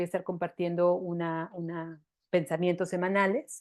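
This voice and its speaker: A woman speaks against a quiet background. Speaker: women's empowerment coach. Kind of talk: online workshop talk. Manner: hesitant fillers.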